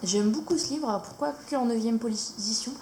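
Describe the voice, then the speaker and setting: A woman's fairly high pitch moves with ordinary pitch variation while noticeable background noise is present. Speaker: YouTuber showing coloring books. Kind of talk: casual product review. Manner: hesitant, many fillers.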